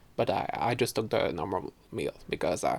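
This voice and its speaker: A man speaks in a Quebec accent at a fairly slow pace. Vocal fry marks his voice. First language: French. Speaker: podcaster. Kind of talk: casual chat. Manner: halting, many fillers.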